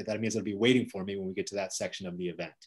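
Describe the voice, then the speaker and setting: Over a quiet background, the man's voice is heard. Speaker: event host, moderator. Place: home room. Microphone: video call.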